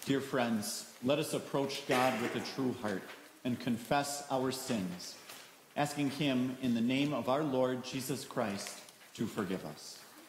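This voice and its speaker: A man speaks at a fairly slow pace with ordinary pitch variation. Light background noise and audible room echo are present. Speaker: pastor leading worship. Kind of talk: liturgy. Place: church.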